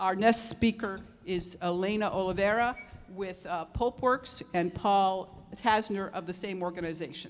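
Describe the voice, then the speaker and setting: A woman of medium pitch talks at a fairly slow pace with ordinary pitch variation in a plain, everyday voice. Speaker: zero waste consultant and panel moderator. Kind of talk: conference panel presentation.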